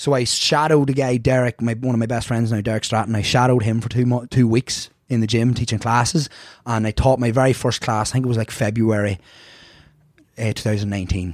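Speaking at a very fast pace, a man with a strong Irish accent keeps to a medium pitch. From Ireland. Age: 30s. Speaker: fitness instructor. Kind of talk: casual chat. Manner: animated.

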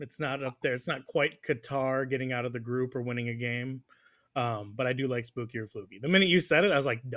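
In a normal speaking voice, a man with an American accent talks at a fairly quick pace. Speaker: soccer podcast host. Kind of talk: casual chat.

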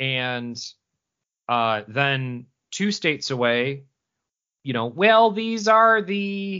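Putting on a character voice in a Central New York accent, a man speaks very slowly with a nasal, fairly high pitch, very wide pitch swings, and long, frequent pauses. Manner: exaggerated.

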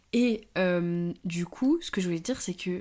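Here is a plain, everyday voice from a woman at medium pitch. She speaks at a fairly slow pace with lively intonation. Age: 20s. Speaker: podcast co-host. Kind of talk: casual chat.

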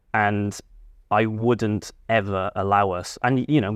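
Against a quiet background comes a plain, everyday voice with fairly even intonation. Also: man. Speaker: podcast host. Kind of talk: casual chat.

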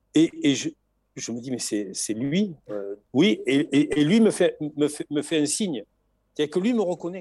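A man's high voice in a southern French accent, dark and mellow in tone, with very wide pitch swings, a very slow pace and long, frequent pauses. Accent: southern French, sing-song. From southern France. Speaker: retired Tour de France logistics manager and author. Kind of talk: interview. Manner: halting, many repetitions.

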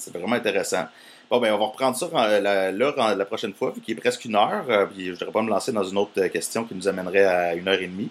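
With a Quebec accent, a man talks at a very fast pace, his fairly low pitch moving with ordinary variation. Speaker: podcast host, interviewer. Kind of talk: casual interview. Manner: halting.

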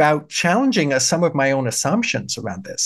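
A man is speaking. His intonation is lively. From Germany. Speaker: political science professor. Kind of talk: casual interview. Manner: articulate, fluent.

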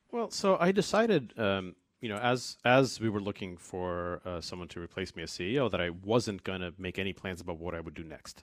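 A man with an American accent and a very deep, low voice, talking at a fairly quick pace with hardly any pauses, ordinary pitch variation and big swings in loudness, on a very clean recording with a silent background. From New York, US (born in Russia, moved at eight). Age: 40s. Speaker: tech entrepreneur. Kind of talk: casual interview conversation. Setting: radio studio. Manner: fast, filler-heavy, frequent 'uh', 'like' and restarts.

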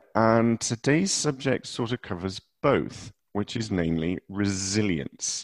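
In an ordinary speaking voice, a man with a fairly low pitch speaks at a fairly slow pace with lively intonation and hardly any pauses, the sound dry and close with no echo. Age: 40s. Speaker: podcast host. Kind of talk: casual chat. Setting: remote call from a cupboard.

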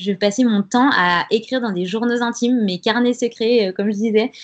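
A woman's normal speaking voice at a moderate pace, fairly high in pitch, with fairly even intonation. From France, Grenoble. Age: 20s. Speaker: freelance communications writer. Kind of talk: interview testimony.

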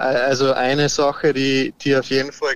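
A man talks in a medium-pitched voice. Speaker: professional golfer. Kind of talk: interview. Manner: halting, many repetitions.

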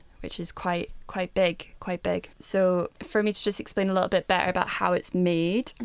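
Speaking at a moderate pace, a woman uses a medium pitch with monotone, flat intonation. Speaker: podcast co-host. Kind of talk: casual chat.

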